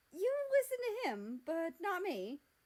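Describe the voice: A woman does a put-on character voice at an extremely high pitch with very wide pitch swings. Her tone is slightly mellow and her pace fairly slow.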